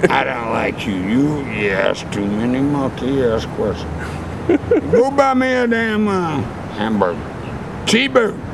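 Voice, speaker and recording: With noticeable background noise behind him, a man talks at a fairly slow pace, leaving long, frequent pauses. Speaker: interviewee. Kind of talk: rambling casual street interview. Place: garden. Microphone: phone near.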